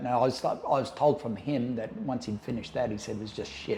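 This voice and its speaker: Somewhat breathy and medium in pitch, a man with an Australian accent talks at a fairly quick pace. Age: 60s. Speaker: ex-cult member telling life story. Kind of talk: podcast interview.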